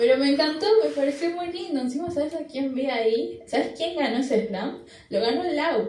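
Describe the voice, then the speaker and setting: A high-pitched woman at a moderate pace, with ordinary pitch variation and audible room echo. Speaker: slam poet. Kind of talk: interview.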